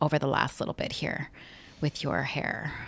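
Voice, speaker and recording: Recorded very cleanly against a silent background, a woman speaks with vocal fry at a very deep, low pitch. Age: 40s. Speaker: podcast co-host. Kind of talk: casual chat.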